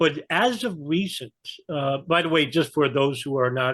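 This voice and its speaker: With a New York accent, a man talks at a moderate pace and fairly high pitch against a quiet background. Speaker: geopolitical analyst. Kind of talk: interview conversation.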